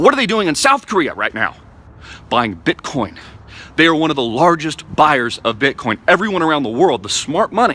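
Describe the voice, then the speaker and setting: The animated tone carries vocal fry and very wide pitch swings. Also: man, fairly high pitch for a man. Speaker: crypto enthusiast vlogger. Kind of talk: impassioned rant to camera. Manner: fast.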